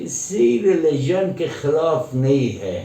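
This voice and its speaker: A man's voice over noticeable background noise. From Afghanistan. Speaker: Afghan guest who studied in India. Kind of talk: interview answer.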